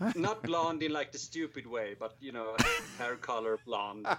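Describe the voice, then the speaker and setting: A man with a Swedish accent at a fairly slow pace, with noticeable background noise. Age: 20s. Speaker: podcast guest, filmmaker.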